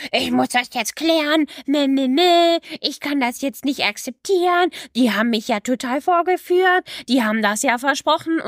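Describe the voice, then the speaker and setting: Putting on a character voice, a woman whines in a high pitch with a whiny tone, moving at a moderate pace with hardly any pauses. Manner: mocking, whiny outrage.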